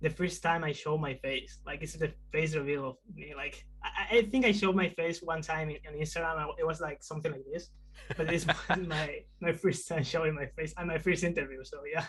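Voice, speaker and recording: A man with a Spanish accent talks at a fairly quick pace, his fairly high pitch showing ordinary variation. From Spain. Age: 20s. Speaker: indie game developer. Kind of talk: video interview. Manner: halting, many fillers.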